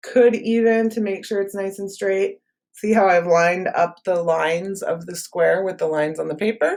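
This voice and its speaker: Using an unremarkable speaking voice, a woman talks at medium pitch and a moderate pace with fairly even intonation. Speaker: art teacher. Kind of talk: tutorial.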